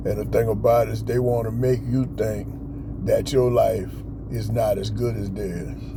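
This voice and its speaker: A man keeps a moderate pace while noticeable background noise and audible room echo surround his voice. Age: 60s. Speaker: motivational vlogger. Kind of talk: pep talk. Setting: outdoors in a park. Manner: casual, filler-heavy.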